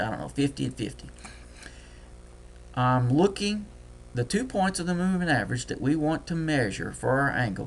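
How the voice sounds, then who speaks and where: A man with a Deep South US accent talks at a moderate pace. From US Deep South. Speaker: trading software tutor. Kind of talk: screen-share tutorial. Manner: casual, thinking aloud.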